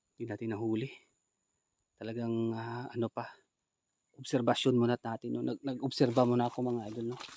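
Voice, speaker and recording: This man has a medium pitch and speaks at a fairly quick pace in a monotone, flat way, with long, frequent pauses. The sound is dry and close with no echo. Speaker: ghost hunter vlogger. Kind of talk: vlog narration.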